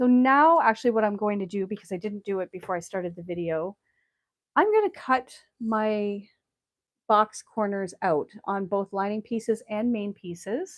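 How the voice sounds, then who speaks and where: This woman has an ordinary speaking voice at medium pitch, with ordinary pitch variation and a moderate pace. The recording is very clean with a silent background, and the sound is dry and close with no echo. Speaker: sewing channel host. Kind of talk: live tutorial. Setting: livestream at sewing table.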